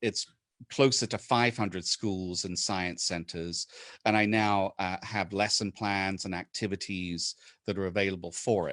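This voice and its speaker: Against a quiet background, a man with a fairly low pitch speaks at a fairly slow pace in a dry, close sound with no echo. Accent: British. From England. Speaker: inventor and presenter. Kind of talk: webinar presentation. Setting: video call. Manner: hesitant, many fillers.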